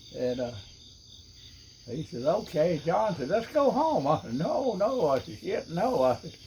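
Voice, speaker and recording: Using a Southern US accent, a man speaks at a fairly slow pace with very wide pitch swings. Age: 90s. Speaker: retired fisherman recalling stories. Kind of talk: casual storytelling. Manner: halting.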